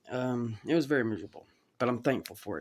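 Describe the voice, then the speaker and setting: A man with a Southern US accent speaks at a medium pitch in a very clean recording with a silent background. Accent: Southern US (Georgia). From US South, Georgia (Chatsworth). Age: 30s. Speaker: cancer survivor. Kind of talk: testimony. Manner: halting.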